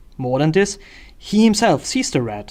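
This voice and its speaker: A man speaks with a German accent. His pace is fairly quick and his intonation lively. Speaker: political commentator. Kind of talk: video essay monologue. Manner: hesitant with frequent fillers.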